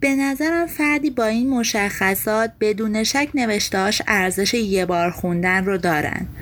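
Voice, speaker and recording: The speech moves at a moderate pace with hardly any pauses and lively intonation. Loudness stays very even over noticeable background noise. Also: woman, fairly high pitch for a woman. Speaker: podcast host summarizing books. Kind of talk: scripted narration.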